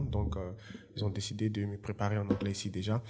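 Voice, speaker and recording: The voice has a dark, mellow tone and a moderate pace. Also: man. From Côte d'Ivoire (Yopougon, Abidjan). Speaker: entrepreneur and former footballer. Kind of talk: interview.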